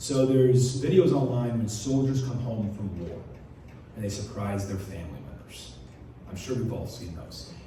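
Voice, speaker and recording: A man with lively intonation talks at a moderate pace, with audible room echo and noticeable background noise around him. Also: medium pitch for a man. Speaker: lay preacher. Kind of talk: sermon with testimony. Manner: hesitant, many ums.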